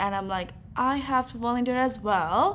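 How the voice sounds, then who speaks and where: A woman with a non-native accent at a moderate pace, with ordinary pitch variation. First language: not English. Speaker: university student. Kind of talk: interview. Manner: hesitant, many fillers.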